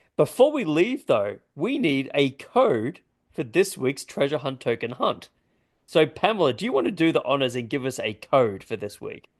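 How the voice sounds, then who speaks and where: Very wide pitch swings from a man with a fairly high pitch and a non-native accent. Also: moderate pace. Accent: non-American accent, others may struggle. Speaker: podcast host. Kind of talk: casual chat.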